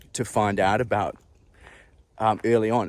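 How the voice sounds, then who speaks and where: At a fairly slow pace, a man talks in a fairly low pitch with fairly even intonation. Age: 40s. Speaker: former health professional living with cervical dystonia. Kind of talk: casual personal talk to camera. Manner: hesitant, with many fillers.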